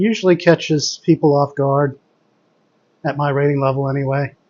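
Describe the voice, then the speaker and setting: Soft-spoken and fairly high in pitch, a man talks at a moderate pace with fairly even intonation and big swings in loudness. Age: adult. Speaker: chess streamer. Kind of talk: live commentary.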